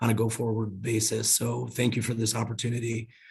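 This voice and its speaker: A man talks at a medium pitch and a fairly quick pace, his voice somewhat breathy and his intonation monotone and flat. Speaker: health insurance company representative. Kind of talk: panel presentation.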